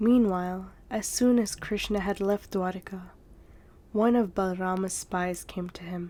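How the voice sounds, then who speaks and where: A soft-spoken woman talks at a fairly slow pace in a dark, mellow, soothing and calm tone with fairly even intonation. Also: medium pitch for a woman. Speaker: ASMR storyteller. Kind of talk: read story. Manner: soothing, calm.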